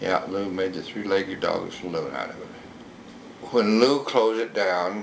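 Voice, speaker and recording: A man in an American accent at a moderate pace, with audible room echo. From rural Utah, US. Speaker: local museum owner. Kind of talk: oral history interview. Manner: halting.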